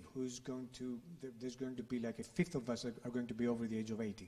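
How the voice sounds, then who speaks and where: Speaking at a moderate pace, a man talks with a Greek accent. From Greece. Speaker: think tank director, former journalist; speaker. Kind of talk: panel discussion. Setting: stage with audience. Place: hall.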